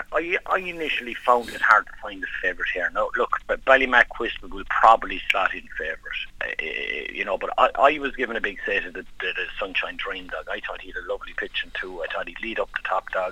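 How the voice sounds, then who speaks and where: A man talks at a fairly quick pace in a Kerry accent, with hardly any pauses. His loudness swings widely over noticeable background noise. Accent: Irish (Kerry). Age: 40s. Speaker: bookmaker. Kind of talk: casual chat.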